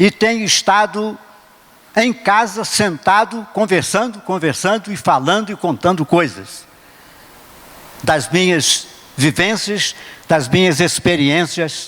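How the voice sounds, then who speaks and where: A man with a high voice speaks very slowly, with long, frequent pauses and very even loudness. Noticeable background noise runs underneath. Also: ordinary pitch variation. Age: 80s+. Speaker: preacher. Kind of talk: sermon.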